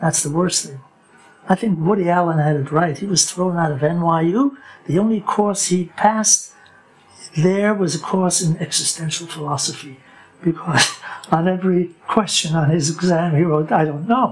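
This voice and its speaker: At a moderate pace, a man speaks at a high pitch with ordinary pitch variation. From New York (Lower East Side), born in Germany; New York. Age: 80s+. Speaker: rabbi. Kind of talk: interview, life story. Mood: reflective, sometimes wry. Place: home room. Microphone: lapel.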